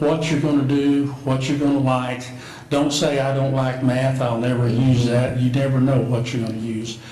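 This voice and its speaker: Monotone, flat intonation from a man at a medium pitch and moderate pace, with noticeable background noise and audible room echo. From Oklahoma, Cushing area. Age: 70s. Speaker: city commissioner candidate. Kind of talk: interview.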